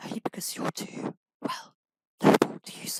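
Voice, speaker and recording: A man whispers at a moderate pace. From Britain. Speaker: ASMR creator. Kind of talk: ASMR audiobook reading. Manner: whispered, softly spoken.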